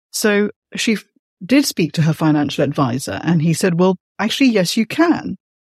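A woman speaks at a moderate pace in a medium pitch, her voice somewhat breathy with very wide pitch swings. The recording is very clean and dry, close up with no echo and a silent background. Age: 50s. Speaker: podcast host and writer. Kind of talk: interview conversation.

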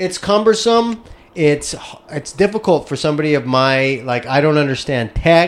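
A man talks in a normal speaking voice, fairly high in pitch. His intonation is lively and his pace moderate. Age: 30s. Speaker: podcast host and stand-up comedian. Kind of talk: casual chat.

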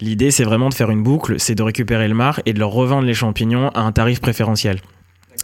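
His speech runs very fast. The man's medium-pitched voice keeps fairly even intonation. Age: 30s. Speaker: mushroom farmer, entrepreneur. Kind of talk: interview. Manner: hesitant, many fillers.

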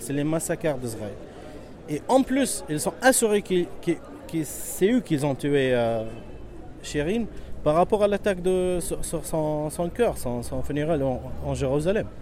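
Speaking at a fairly slow pace, a man with a fairly high pitch swings very widely up and down, leaving long, frequent pauses. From Palestine, Bethlehem. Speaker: protester, Palestinian refugee. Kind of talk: street interview. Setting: outdoors. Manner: halting.

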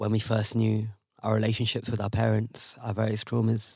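A somewhat breathy man talks at a fairly quick pace and fairly low pitch. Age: 20s. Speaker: activist. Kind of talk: storytelling.

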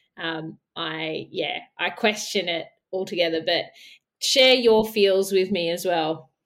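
A woman with an Australian accent, medium pitch and ordinary pitch variation, at a very slow pace on a very clean recording with a silent background. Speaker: editor. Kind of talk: casual chat.

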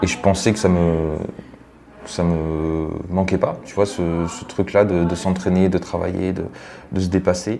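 A man's very deep, low voice at a fairly slow pace, with long, frequent pauses, fairly even intonation, and noticeable background noise. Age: 20s. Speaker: triathlete and social media influencer. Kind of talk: casual interview.

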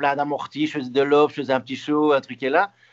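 The man's pitch is fairly high. He talks at a fairly quick pace. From Belgium. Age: 30s. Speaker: retired tennis player. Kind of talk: interview. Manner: halting.

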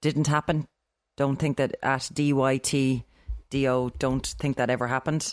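A woman with an Irish accent speaks at a moderate pace in a very deep, low, flat monotone at a very even loudness. The recording is very clean and dry, close and free of echo, with a silent background. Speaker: podcast co-host. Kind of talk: casual chat.

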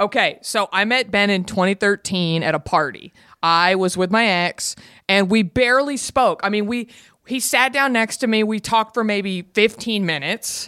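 A woman's bright, sharp voice with an American accent, medium pitch, ordinary pitch variation and moderate pace, dry and close with no echo, on a very clean recording with a silent background. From Texas, Garland (Dallas suburb). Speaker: podcaster. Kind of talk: casual chat.

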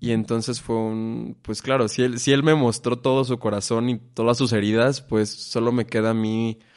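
At a moderate pace, a man speaks in a medium-pitched, monotone voice with flat intonation. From Mexico, Irapuato, Guanajuato. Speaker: stage actor. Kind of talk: casual interview chat.

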